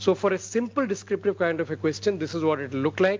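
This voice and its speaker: A man speaks at a very fast pace in an Indian accent. His pitch swings very widely. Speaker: medical research lecturer. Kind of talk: lecture.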